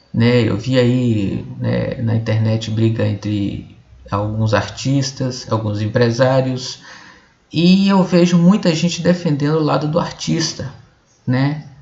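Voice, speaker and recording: Over noticeable background noise, a man of medium pitch speaks very slowly with lively intonation. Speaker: video blogger. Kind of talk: explainer monologue. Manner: halting.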